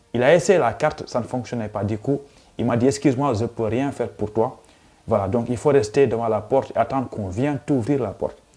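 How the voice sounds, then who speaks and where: Over music in the background, a man with a medium-pitched voice speaks at a moderate pace with ordinary pitch variation. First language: Pulaar (Fula) (speaking French). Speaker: YouTuber, student. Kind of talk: casual vlog storytelling.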